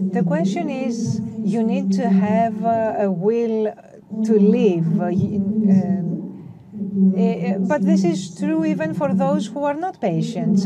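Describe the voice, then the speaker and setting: Noticeable background noise sits behind speech that unfolds fairly slowly. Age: 40s. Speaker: patient speaker at conference. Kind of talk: conference testimony. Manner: halting, many fillers.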